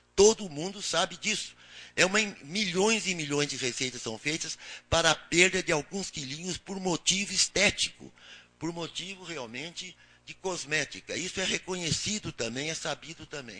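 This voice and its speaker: A man talks at a moderate pace in a high, bright, sharp voice with ordinary pitch variation. His loudness swings widely. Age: 80s+. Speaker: senior physician panelist. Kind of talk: panel presentation. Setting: public panel in Brasília. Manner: halting, with fillers.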